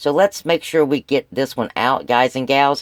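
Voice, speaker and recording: An unremarkable speaking voice at a moderate pace, with a dry, close sound with no echo. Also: man. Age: 60s. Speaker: couponing and prepping YouTuber. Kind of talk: casual vlog talk. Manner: conversational, with filler words.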